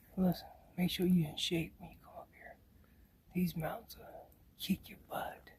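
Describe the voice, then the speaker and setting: Whispering broken by long, frequent pauses. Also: moderate pace. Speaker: hunting guide. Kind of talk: outdoor tutorial. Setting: outdoors.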